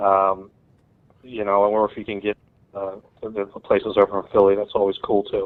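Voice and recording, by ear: With an American accent, a man speaks at a moderate pace in a fairly low pitch, his intonation monotone and flat.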